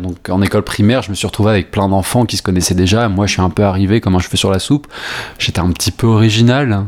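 This man's pitch sits fairly low, and his intonation stays fairly even. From Poitou, France. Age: 20s. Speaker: musical theatre student. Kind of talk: interview. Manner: halting.

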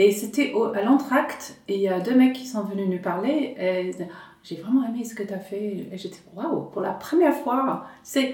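Through audible room echo and noticeable background noise, a woman speaks at a moderate pace with a fairly high pitch. Her intonation is lively and her loudness swings widely. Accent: English. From rural England. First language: English (speaking French). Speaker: stand-up comedian. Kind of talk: casual chat. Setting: at home.

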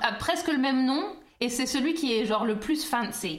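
A woman with a slight English accent speaks at a moderate pace in a high voice, her intonation lively, with audible room echo. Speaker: podcast co-host. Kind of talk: casual chat.

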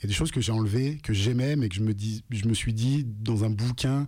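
A man talks at a moderate pace and a medium pitch, his tone dark and mellow and somewhat breathy. His intonation stays fairly even, and the recording is very clean with a silent background. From France, Lyon. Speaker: author and rapper. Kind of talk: radio interview.

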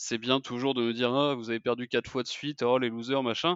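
A man talks fairly quickly at a medium pitch in a plain, everyday voice. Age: 20s. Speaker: American football fan account runner. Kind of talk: casual chat.

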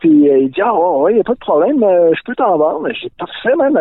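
The speaker has a Quebec accent. The pace is very fast. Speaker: podcast collaborator. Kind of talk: casual chat. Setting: outdoors.

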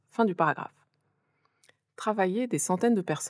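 Dry, close sound with no echo on a very clean recording with a silent background. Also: woman. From France. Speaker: podcast host. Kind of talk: scripted narration.

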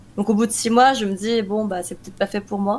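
A woman's unremarkable speaking voice, fairly high in pitch, with ordinary pitch variation. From France, Korean-born. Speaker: esports team manager and analyst. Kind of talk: interview.

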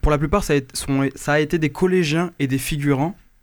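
At a moderate pace, a man with a normal speaking voice talks at a fairly high pitch on a very clean recording with a silent background. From France, countryside. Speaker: radio panelist. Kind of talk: casual chat.

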